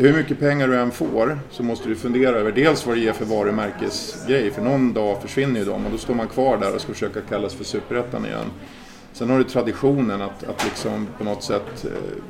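Fairly quick, with fairly level intonation, the talking comes through noticeable background noise. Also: man. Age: 50s. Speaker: football association secretary general. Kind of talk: casual interview.

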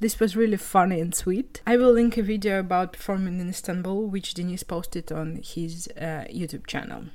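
A woman talks with a Russian accent at a moderate pace, with hardly any pauses. Her pitch is medium, with ordinary variation. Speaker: podcast host. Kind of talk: solo podcast monologue.

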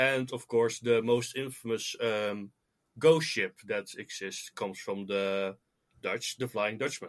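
A man talks at a fairly slow pace in an ordinary speaking voice. His pitch is medium, with ordinary pitch variation. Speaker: guest, Titanic and metal fan. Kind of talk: casual interview chat.

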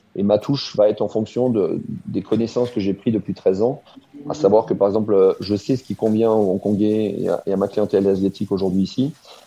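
Over noticeable background noise, a man talks at a fairly quick pace with fairly low pitch and fairly even intonation. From Alsace, France. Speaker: chef. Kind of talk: interview. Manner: halting, with fillers.

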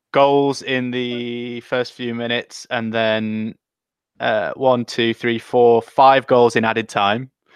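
With an English accent, a man speaks at medium pitch and a very slow pace, in a monotone, flat intonation. The sound is dry and close with no echo, over a quiet background. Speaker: podcast co-host. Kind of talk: casual chat.

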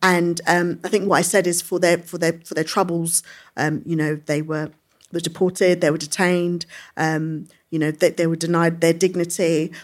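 A woman's fairly low, monotone voice with flat intonation, in a London accent, at a moderate pace, on a very clean recording with a silent background. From London, England (Brixton Hill). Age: young. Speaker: politician. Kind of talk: live interview before audience. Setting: stage with audience.

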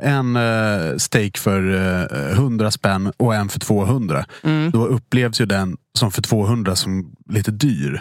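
Lively intonation marks a man's speech in a very clean recording with a silent background. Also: dry, close sound with no echo. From Dalarna, Sweden. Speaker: podcast host, restaurant industry. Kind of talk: casual chat.

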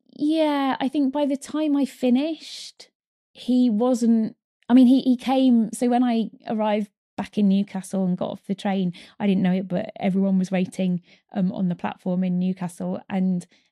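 A woman's dark, mellow, somewhat breathy voice moves with ordinary pitch variation. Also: medium pitch for a woman, moderate pace, dry, close sound with no echo. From Kent then Northumberland, England. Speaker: adaptive rower and charity founder. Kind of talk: interview.

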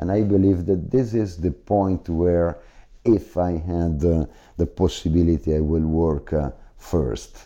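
A man with an Italian accent speaks fairly slowly in a very deep, low voice with a dark, mellow tone. His pitch varies in an ordinary way, his loudness stays very even, and the background is quiet. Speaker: business executive. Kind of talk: interview. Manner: halting, with frequent fillers.

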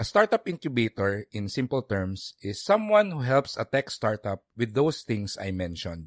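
A man talks at a moderate pace with very wide pitch swings. The recording is very clean, with a silent background. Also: medium pitch for a man. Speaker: podcast host and financial planner. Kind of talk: podcast narration and interview.

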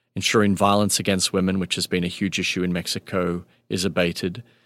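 A man speaks with an Australian accent. His intonation is flat and monotone. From Melbourne, Australia. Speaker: nonprofit founder and chief executive. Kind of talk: interview conversation. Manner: halting with fillers.

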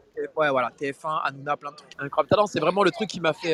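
A man's animated, fairly high voice at a fairly quick pace, dry and close with no echo, over noticeable background noise. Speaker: comedian and radio host. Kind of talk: casual interview. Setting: outdoors on a street. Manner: animated, repeats words.

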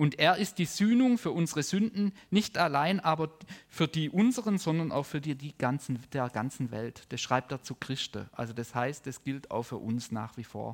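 Warm in tone and fairly high in pitch, a man speaks at a moderate pace with very wide pitch swings and hardly any pauses. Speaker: preacher. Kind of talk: sermon with prayer, teaching a congregation. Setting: church service with live audience and online viewers. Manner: warm, earnest, conversational preaching.

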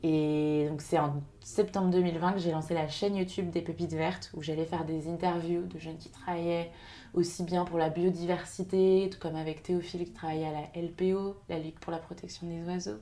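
Audible room echo surrounds a woman whose fairly low, dark, mellow voice stays monotone and flat at a moderate pace while her loudness swings widely. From western France, Maine-et-Loire. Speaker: social entrepreneur. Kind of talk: interview.

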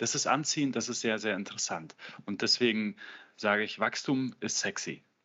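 A man with an unremarkable speaking voice talks in a medium pitch at a moderate pace, with ordinary pitch variation. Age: 30s. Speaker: business coach. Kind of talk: interview.

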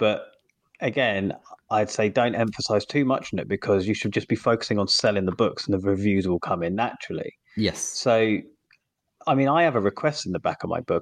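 Over a quiet background, a man with a British accent talks at a fairly quick pace in a fairly low pitch with ordinary pitch variation, the sound dry and close with no echo. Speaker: indie author and podcast co-host. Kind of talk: casual chat.

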